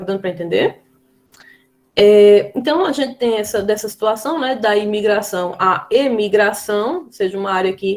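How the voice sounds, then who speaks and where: This is a woman with a Brazilian accent. Her voice sits at a medium pitch. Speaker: schoolteacher. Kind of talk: lecture.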